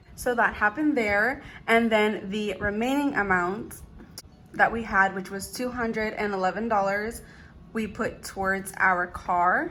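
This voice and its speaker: Music plays in the background as a woman speaks at a fairly slow pace in a fairly high pitch, with ordinary pitch variation. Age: 20s. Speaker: budgeting vlogger. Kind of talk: casual vlog.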